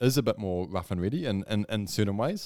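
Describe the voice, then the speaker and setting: A man with a New Zealand accent talks at a moderate pace in a very clean recording with a silent background and a dry, close sound with no echo. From New Zealand, Whanganui. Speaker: content creator, graphic designer. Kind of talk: casual interview chat.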